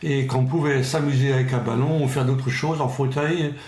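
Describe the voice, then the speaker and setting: A man with a medium-pitched voice speaks at a fairly slow pace, with audible room echo and noticeable background noise. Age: 60s. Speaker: Paralympic athlete. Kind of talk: interview.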